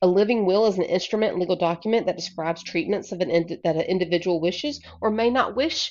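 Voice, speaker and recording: Her pitch is medium with ordinary variation as this woman speaks at a fairly quick pace. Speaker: college instructor. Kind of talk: recorded lecture. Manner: fast; animated.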